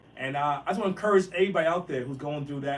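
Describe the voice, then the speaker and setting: Pitch shifts in an ordinary way while noticeable background noise runs underneath. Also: man. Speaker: impressionist and actor. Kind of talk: motivational talk. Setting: live stream. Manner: very fast; stuttering repetitions.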